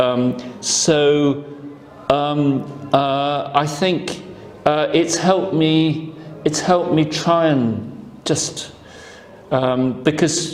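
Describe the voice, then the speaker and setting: With music in the background and audible room echo, a man speaks very slowly in a fairly high voice, with long, frequent pauses, very even loudness and ordinary pitch variation. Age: 70s. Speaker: painter and sculptor. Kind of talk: interview. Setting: gallery talk with audience. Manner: halting.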